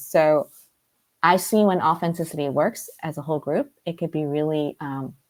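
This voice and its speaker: A woman speaks at a fairly low pitch with ordinary pitch variation. The recording is very clean, with a silent background. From US, Brooklyn, New York. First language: Cantonese. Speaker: life coach. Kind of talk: interview conversation.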